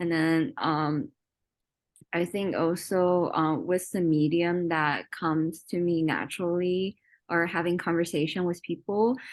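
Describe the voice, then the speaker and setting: A woman speaks at a fairly slow pace with a Chinese accent, her pitch fairly low and its variation ordinary. Her loudness stays very even against a quiet background. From China. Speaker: workshop participant. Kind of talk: casual sharing in a workshop. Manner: halting, many fillers.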